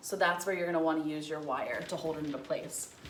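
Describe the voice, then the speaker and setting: A woman's voice carries audible room echo. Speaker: florist / wreath maker. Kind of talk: tutorial. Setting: home breezeway. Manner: casual, chatty.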